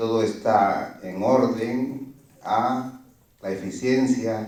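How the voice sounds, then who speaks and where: A man with a Guatemalan accent speaks at medium pitch with ordinary pitch variation. Audible room echo surrounds his voice. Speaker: permanent deacon, audience member. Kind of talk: question from the audience. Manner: hesitant, many fillers.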